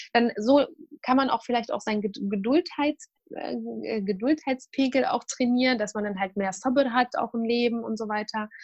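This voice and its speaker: Moderately paced speech from a woman, fairly high in pitch and varying in an ordinary way. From Syria. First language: Arabic (speaking German). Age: 30s. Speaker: nutrition student and expert. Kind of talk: interview. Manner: hesitant, many fillers.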